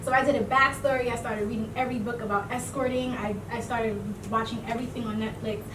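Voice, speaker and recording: A woman with an American accent and a fairly high voice, a very fast pace and monotone, flat intonation, with audible room echo and noticeable background noise. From US Midwest, Cleveland. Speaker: actress. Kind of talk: interview.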